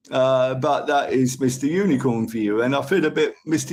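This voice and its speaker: A man at medium pitch and moderate pace, with a Cockney accent. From London, England. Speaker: live streamer. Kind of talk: casual chat. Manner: rambling.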